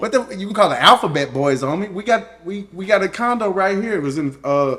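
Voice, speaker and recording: Over noticeable background noise, a man with a South Louisiana accent talks fairly quickly at a high pitch with lively intonation. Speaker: co-host, husband of the channel owner. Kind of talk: casual chat. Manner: halting.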